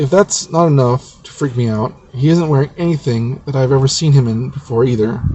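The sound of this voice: Ordinary pitch variation shows up in what is an unforced reading voice.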